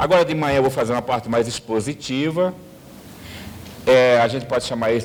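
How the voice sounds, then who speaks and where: At a moderate pace, a man with medium pitch speaks with ordinary pitch variation. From Brazil, Mato Grosso. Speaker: university history professor. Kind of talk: lecture to union members. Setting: hotel event room with audience.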